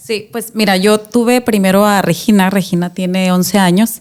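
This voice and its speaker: A woman talks in a normal speaking voice at a fairly slow pace. Her pitch is medium and her intonation fairly even. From Mexico, Tijuana. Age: 30s. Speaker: mother sharing testimony. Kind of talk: interview testimony. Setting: studio.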